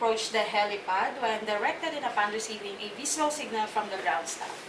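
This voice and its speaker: The speaker keeps a moderate pace with ordinary pitch variation. Music plays in the background. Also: woman. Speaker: guest. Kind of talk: safety briefing. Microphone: camera far.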